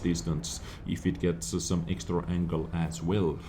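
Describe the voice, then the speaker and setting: A man talks with a non-native accent and some vocal fry. His tone is dark and mellow. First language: not English. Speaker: gaming YouTuber. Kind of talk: gameplay replay commentary. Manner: animated; hesitant fillers.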